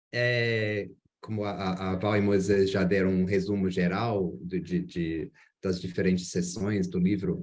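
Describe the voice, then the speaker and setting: With fairly even intonation and a fairly low voice, a man talks at a fairly slow pace. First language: English (speaking Spanish). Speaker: geography researcher. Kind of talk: academic presentation. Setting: video call. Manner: halting.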